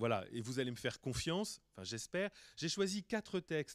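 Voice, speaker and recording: A man with an ordinary speaking voice talks in a fairly high pitch and lively intonation, recorded very clean against a silent background with a dry, close sound and no echo. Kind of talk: lecture. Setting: conference hall with audience.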